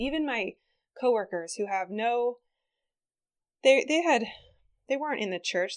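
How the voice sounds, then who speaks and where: A woman talks fairly quickly in a normal speaking voice. The background is quiet. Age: 30s. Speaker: health center worker. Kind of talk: casual conversation.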